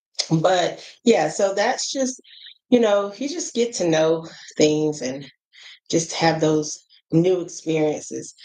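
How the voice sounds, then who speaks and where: A woman's fairly low voice with an American accent, a dark, mellow tone and lively intonation, at a very slow pace with long, frequent pauses. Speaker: travel vlogger. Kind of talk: casual monologue vlog. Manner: animated.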